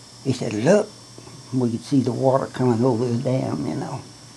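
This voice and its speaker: Through noticeable background noise, a man with a Southern US accent speaks at a moderate pace and a medium pitch. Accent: Southern US rural. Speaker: great-grandfather. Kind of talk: storytelling about own life. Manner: casual, rambling.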